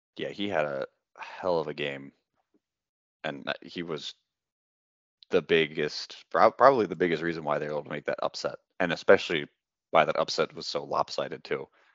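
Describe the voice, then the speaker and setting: A man leaves long, frequent pauses while keeping a moderate pace. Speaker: lacrosse picks podcast host. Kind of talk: casual sports analysis chat.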